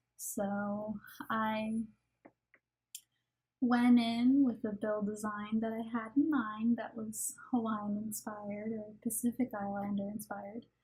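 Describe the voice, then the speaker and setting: A woman speaks loudly at a very slow pace, her pitch fairly high. Her tone is dark and mellow. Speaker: gaming YouTuber. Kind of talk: voice-over commentary on a speed build.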